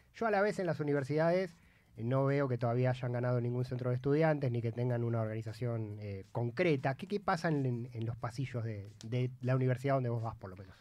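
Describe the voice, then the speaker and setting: The sound is dry with no echo as a man speaks at a medium pitch with ordinary pitch variation and hardly any pauses. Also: fairly quick pace. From Argentina. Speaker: radio host. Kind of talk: radio interview. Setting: studio. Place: studio. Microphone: studio mic.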